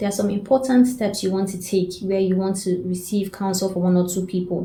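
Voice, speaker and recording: A woman's medium-pitched, somewhat breathy voice, dark and mellow in tone, at a moderate pace with audible room echo. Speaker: self-development coach. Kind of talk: advice talk to camera.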